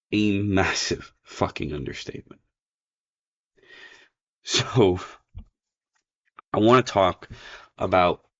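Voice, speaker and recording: A man speaks with a very deep, low voice. His intonation stays fairly even. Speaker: story narrator. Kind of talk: casual talk to camera.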